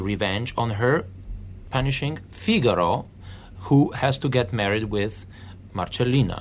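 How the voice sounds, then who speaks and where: A man with a Polish accent, fairly slow in pace, with lively intonation. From Poland. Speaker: opera singer. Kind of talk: interview.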